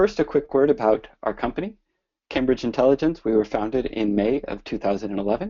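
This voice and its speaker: Fairly quick, lively intonation in an American accent, a normal speaking voice. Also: man, medium pitch for a man. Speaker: business development director presenting software. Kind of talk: webinar presentation. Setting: online webinar.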